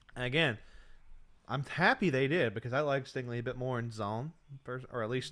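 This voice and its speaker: Loud and at a medium pitch, a man speaks with ordinary pitch variation. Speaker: livestream host, football commentator. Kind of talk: casual live stream commentary. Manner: halting.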